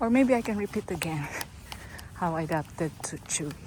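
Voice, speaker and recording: A woman with a non-native accent speaks at a moderate pace over noticeable background noise. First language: not English. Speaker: dog owner vlogger. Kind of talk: casual vlog talk while walking. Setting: outdoors walking dogs.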